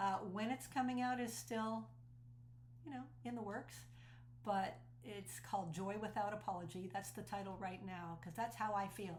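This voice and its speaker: Very wide pitch swings and vocal fry at a moderate pace, with audible room echo. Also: woman, medium pitch for a woman. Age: 60s. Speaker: speaker and cult survivor. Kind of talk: personal testimony. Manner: earnest and conversational.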